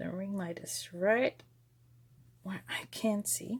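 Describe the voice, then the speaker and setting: A woman speaks at a very slow pace. She has a slight German accent. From Germany. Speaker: papercraft video maker. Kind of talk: craft tutorial. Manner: casual, with many fillers.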